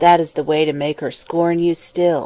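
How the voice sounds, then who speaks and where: In a put-on character voice, a woman talks at a moderate pace, fairly low in pitch, with monotone, flat intonation. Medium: audio drama. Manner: calm, kindly.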